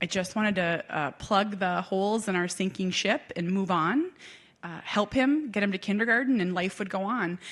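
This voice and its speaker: In a very clean recording with a silent background, a woman with an American accent talks at a moderate pace and medium pitch. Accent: Minnesota accent, comes out at times. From Minnesota. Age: 40s. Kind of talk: keynote talk. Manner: animated.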